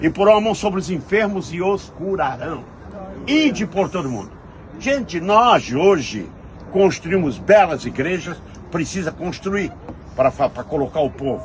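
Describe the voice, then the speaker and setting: Against noticeable background noise, a man speaks fairly slowly with long, frequent pauses. His high-pitched voice has lively intonation. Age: 70s. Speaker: pastor. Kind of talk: sermon.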